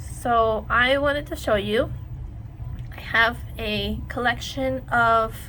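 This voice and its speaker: Room echo can be heard clearly. The woman talks very slowly. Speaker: sticker designer and craft YouTuber. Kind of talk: tutorial. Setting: home desk by a window. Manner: casual, many fillers.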